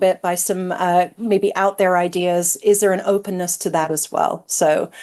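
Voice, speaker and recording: In an unremarkable speaking voice with an American accent, a woman talks at a medium pitch and moderate pace against a quiet background. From United States. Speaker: business school innovation executive. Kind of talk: panel discussion. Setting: webinar.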